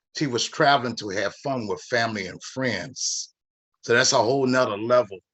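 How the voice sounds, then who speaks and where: A plain, everyday voice. It moves at a moderate pace with fairly even intonation. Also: man, medium pitch for a man. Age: 50s. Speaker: network marketing member and minister. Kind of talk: casual chat.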